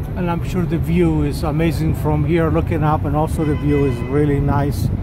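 A moderate pace against loud background noise, with a dry sound and no echo. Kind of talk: casual tour commentary. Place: street. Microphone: phone near.

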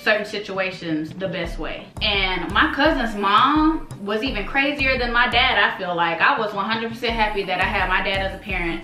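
A woman speaks at a moderate pace with hardly any pauses. Audible room echo and faint music in the background are present. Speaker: vlogger. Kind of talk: casual storytime vlog. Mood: earnest, reflective. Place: home room.

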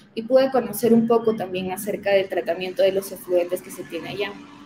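Clear background noise is present. The speaker is a woman. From Peru, Huancayo (central highlands); Peru. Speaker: environmental consultant; guest. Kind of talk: webinar presentation. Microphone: webcam.

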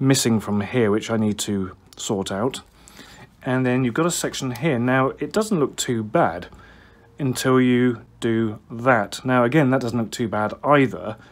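A man's pitch varies in an ordinary way as he talks at a fairly slow pace. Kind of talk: tutorial. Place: workshop. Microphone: phone near.

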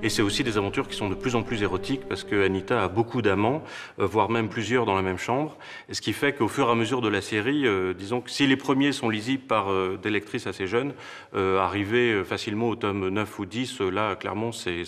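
In an ordinary speaking voice, a man with a fairly low pitch talks at a fairly quick pace with ordinary pitch variation. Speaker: bookseller or publisher presenting books. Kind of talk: interview answer. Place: shop.

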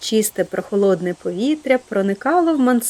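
Lively intonation in an unforced reading voice

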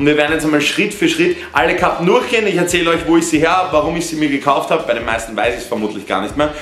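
Barely pausing, a man rattles along at a very fast pace amid light background noise and audible room echo. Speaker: fashion vlogger. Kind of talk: casual vlog chat. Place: home room. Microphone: camera far.

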